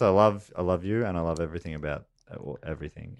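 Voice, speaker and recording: This man has a very deep, low pitch and talks at a very fast pace with fairly even intonation. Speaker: podcast co-host. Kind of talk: casual, comedic.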